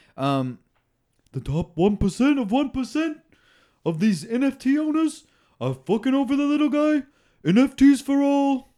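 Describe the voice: Putting on a character voice in a Brooklyn accent, a man speaks at an extremely high pitch and a fairly slow pace with long, frequent pauses, in a very clean recording with a silent background.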